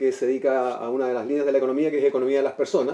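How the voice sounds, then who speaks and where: Talking very fast, a man has a dark, mellow tone at a fairly high pitch. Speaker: TV show guest. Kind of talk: TV panel discussion.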